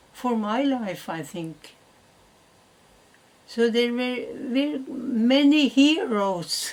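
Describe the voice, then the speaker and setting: A woman with a Norwegian accent speaks at a fairly high pitch. She talks very slowly but with lively intonation. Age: 90s. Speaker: great-grandmother. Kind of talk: interview answer.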